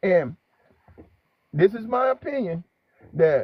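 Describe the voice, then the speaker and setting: Fairly slow in pace, this man speaks with lively intonation. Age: 60s. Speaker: channel host. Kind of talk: casual chat. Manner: halting.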